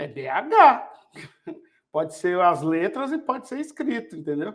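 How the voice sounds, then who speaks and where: Speaking at a very slow pace, a man uses a high voice with very wide pitch swings. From Belo Horizonte, Brazil. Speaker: podcast host, industrial cybersecurity consultant. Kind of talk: casual chat. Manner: animated.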